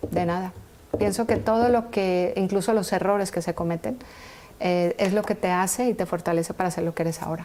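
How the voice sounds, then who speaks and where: A voice with a dark, mellow tone speaks at a fairly quick pace with ordinary pitch variation. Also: woman, medium pitch for a woman. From Colombia, Valle del Cauca and Pereira. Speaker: entrepreneur, engineer. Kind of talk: TV interview.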